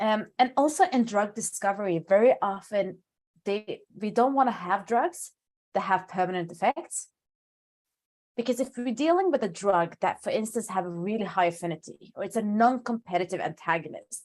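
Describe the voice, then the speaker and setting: In a non-native accent, a woman talks with a fairly high pitch. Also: lively intonation, moderate pace. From Sweden. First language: not English. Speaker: pharmacologist. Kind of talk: lecture Q&A.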